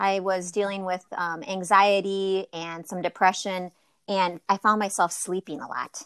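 A woman with an Upper Midwest accent speaks at a fairly slow pace and a medium pitch. The recording is very clean, with a silent background and a dry, close sound with no echo. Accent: Upper Midwest American. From Wisconsin. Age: 40s. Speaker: yoga teacher. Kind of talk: casual chat.

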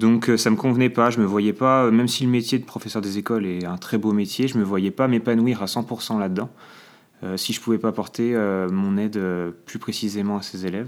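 This man speaks at a moderate pace with fairly even intonation and a fairly low pitch. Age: 20s. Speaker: trainee special educator. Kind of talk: interview testimony. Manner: hesitant, many fillers.

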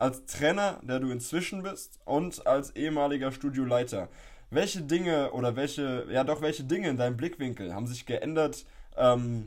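A man speaks at a moderate pace with medium pitch and ordinary pitch variation. His is a plain, everyday voice. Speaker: podcast host, personal trainer. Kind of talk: casual chat. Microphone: poor audio quality.

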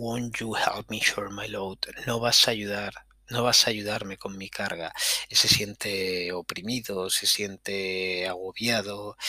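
Amid noticeable background noise, a man with a Spanish accent speaks in a fairly low pitch. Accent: Peninsular Spanish. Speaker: podcast host, music commentator. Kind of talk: casual solo music commentary. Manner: animated.

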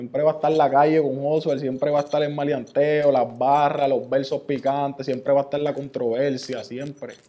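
A man speaks at a fairly high pitch with a dark, mellow tone. His intonation is monotone and flat. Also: moderate pace. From Puerto Rico, Ceiba. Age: 20s. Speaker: rapper. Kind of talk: casual interview.

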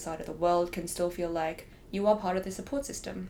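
Over noticeable background noise, a woman with an Australian accent talks at a fairly quick pace in a fairly low pitch. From Hong Kong. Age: 20s. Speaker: law student. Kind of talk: casual interview chat.

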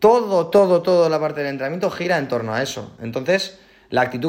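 With lively intonation and a fairly quick pace, a man talks at a high pitch. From Spain. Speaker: CrossFit athlete. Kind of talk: casual interview chat.

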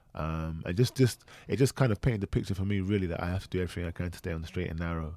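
A man with a London accent talks at a very fast pace, his pitch very deep and low with ordinary variation. The recording is very clean, with a silent background. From south London. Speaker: podcast co-host. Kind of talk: casual chat.

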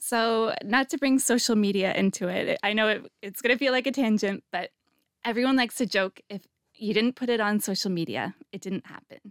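In a Canadian accent, a woman with an unremarkable speaking voice talks at a fairly quick pace, fairly high in pitch, with ordinary pitch variation. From Canada. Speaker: podcast host. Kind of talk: interview.

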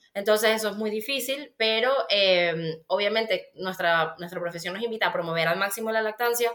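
With a Venezuelan accent, a woman talks at a fairly quick pace. Her pitch is medium, with ordinary variation. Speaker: pediatric dietitian and author. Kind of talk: casual interview chat.

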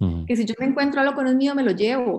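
Her voice is high-pitched. This woman shows ordinary pitch variation. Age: 30s. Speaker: presidential candidate. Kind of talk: interview.

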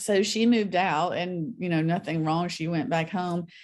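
A woman speaks with a Southern US accent and lively intonation. The recording is very clean, with a silent background. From US South, North Mississippi. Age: 50s. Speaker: author. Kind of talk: interview.

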